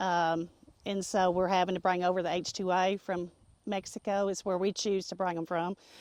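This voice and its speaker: Against a quiet background, a woman with a Tennessee accent talks at a moderate pace in a monotone, flat intonation. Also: dry, close sound with no echo. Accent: Southern US (Tennessee). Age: 60s. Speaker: nursery co-owner. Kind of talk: interview. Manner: hesitant, many fillers.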